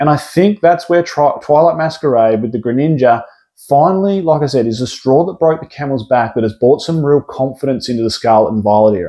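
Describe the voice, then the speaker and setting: Speaking at a fairly quick pace with an Australian accent, a man uses lively intonation and a fairly high pitch. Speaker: pokemon card investing youtuber. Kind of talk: casual vlog commentary. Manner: casual, filler-heavy.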